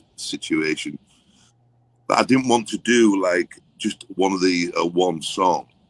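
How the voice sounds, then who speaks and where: A man speaks at a fairly low pitch with ordinary pitch variation. The sound is dry and close, with no echo. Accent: English. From England. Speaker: songwriter and record producer. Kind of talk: interview.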